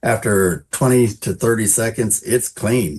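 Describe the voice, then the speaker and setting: Over a quiet background, a man talks in a plain, everyday voice, fairly low in pitch with ordinary pitch variation. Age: 60s. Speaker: drywaller and YouTuber. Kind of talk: casual interview chat.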